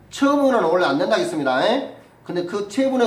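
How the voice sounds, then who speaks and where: Through noticeable background noise and audible room echo, a man speaks with very wide pitch swings. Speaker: civil law lecturer for real estate agent exam. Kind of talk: lecture. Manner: fast.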